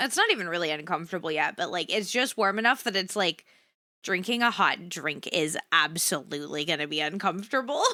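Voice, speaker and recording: The voice belongs to a woman. She speaks at a moderate pace. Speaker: vtuber streamer. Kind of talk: casual livestream chat. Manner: low energy.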